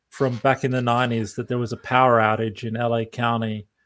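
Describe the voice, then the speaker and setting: On a very clean recording with a silent background, a man with an Australian accent speaks at a medium pitch and a moderate pace. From Australia (outback). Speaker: professor. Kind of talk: interview.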